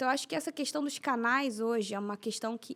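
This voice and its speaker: A woman's high-pitched voice with lively intonation at a fairly quick pace, on a very clean recording with a silent background. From Rio de Janeiro. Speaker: racial equality activist and author. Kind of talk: podcast interview answer. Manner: calm.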